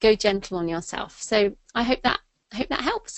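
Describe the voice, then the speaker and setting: With an English accent, a woman speaks at a fairly high pitch. She keeps a moderate pace and ordinary pitch variation. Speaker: thriller and nonfiction author. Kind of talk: interview. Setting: webinar. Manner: casual, many fillers.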